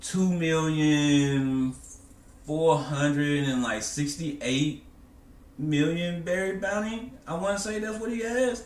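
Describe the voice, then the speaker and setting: Amid audible room echo, a man with a fairly high voice talks at a very slow pace with lively intonation. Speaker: anime discussion youtuber. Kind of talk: casual commentary monologue.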